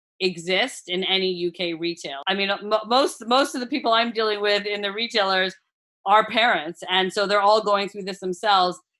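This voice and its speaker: A woman talks with an American accent in a normal speaking voice. Her pitch is medium, with ordinary pitch variation. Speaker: food brand founder. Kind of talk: podcast interview.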